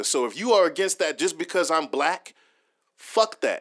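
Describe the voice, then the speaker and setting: Over a silent background in a very clean recording, a man speaks at a moderate pace with lively intonation and a bright, sharp tone. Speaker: podcast host. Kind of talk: casual chat. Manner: expressive, profane.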